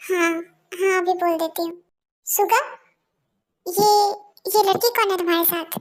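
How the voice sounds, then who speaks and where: A woman's put-on character voice, extremely high-pitched, at a moderate pace with long, frequent pauses. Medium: audio drama. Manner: scolding, emotional.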